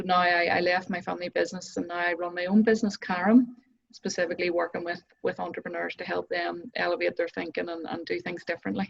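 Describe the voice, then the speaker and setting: With a Northern Irish accent, a woman speaks at a very fast pace. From Northern Ireland. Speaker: business coach. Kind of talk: interview.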